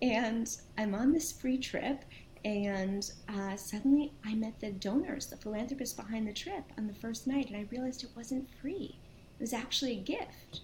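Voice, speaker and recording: A plain, everyday voice with an American accent talks at a moderate pace, its pitch rising and falling in an ordinary way. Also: woman, fairly high pitch for a woman. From New York and New Jersey, US. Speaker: nonprofit founder and CEO. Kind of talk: interview.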